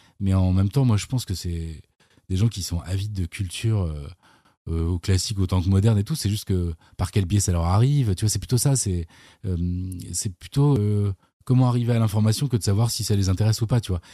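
A man with a dark, mellow, somewhat breathy tone and fairly low pitch talks at a fairly quick pace with ordinary pitch variation and long, frequent pauses. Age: 40s. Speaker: YouTuber, musician and screenwriter. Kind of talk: casual chat. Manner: hesitant, many fillers and repetitions.

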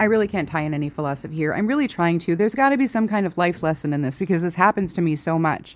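A woman with a fairly low pitch races along very fast with lively intonation and hardly any pauses. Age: 40s. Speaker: podcaster. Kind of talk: personal monologue. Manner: casual.

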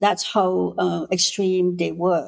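Woman with a Cambodian accent at medium pitch and a very slow pace. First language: Khmer. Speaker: politician and women's rights activist. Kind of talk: interview. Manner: gentle.

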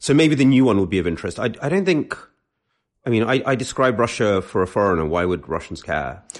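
A man's fairly low voice in a British accent, at a very fast pace with very wide pitch swings. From London, England. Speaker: author and essayist. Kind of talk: casual chat.

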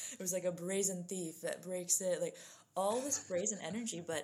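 A medium-pitched woman with a New Jersey accent. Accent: New Jersey American. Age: 20s. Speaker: writer. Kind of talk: casual interview.

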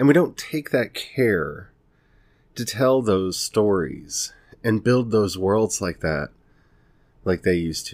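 With an American accent, a man speaks at a very slow pace, leaving long, frequent pauses. His intonation is lively. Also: fairly low pitch for a man. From US South (Ozarks, Texas, Tennessee). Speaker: podcast host and fiction writer. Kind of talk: casual monologue. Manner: conversational.

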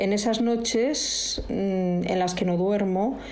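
A woman speaks with ordinary pitch variation. The room echo is audible and background noise is noticeable. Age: old. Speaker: host's mother, guest contributor. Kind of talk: recorded voice message, monologue.

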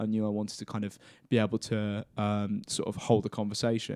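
A man with a southern English accent speaks at a fairly low pitch in a monotone, flat intonation. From Cambridgeshire, England. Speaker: university student. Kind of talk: casual chat.

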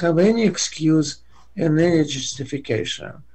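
The voice is somewhat breathy and comes with a Russian accent. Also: man. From Russia (Soviet Union). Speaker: economics professor. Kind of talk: interview. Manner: halting.

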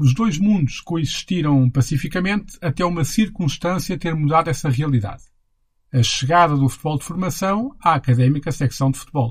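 An ordinary speaking voice from a man with a fairly high pitch. He uses ordinary pitch variation at a moderate pace. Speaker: podcast host and narrator. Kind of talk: scripted narration.

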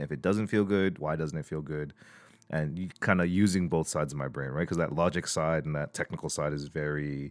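A man with a Canadian accent speaks at a fairly quick pace in a very deep, low voice, his intonation fairly even, on a very clean recording with a silent background. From Toronto, Canada (Scarborough). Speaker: producer and director. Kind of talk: podcast interview.

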